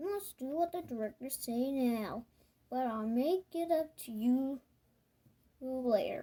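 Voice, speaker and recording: Using a put-on character voice, a woman talks at a fairly slow pace in a high pitch with lively intonation and long, frequent pauses. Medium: read story.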